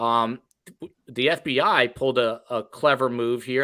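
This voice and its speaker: At a fairly slow pace, a bright, sharp voice comes through with a slight New Jersey accent. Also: man, very clean recording, silent background. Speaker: podcast host. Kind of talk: casual chat.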